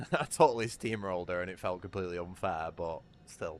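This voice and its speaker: A man's very deep, low voice with a British accent and ordinary pitch variation. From Britain. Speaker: gaming streamer. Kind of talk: casual livestream commentary. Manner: animated.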